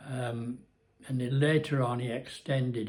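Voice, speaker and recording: A man speaks with a Cumbrian accent. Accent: northern English (Cumbrian). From Cumbria, England. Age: 80s+. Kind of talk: casual talk to camera, life story vlog. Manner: hesitant, rambling.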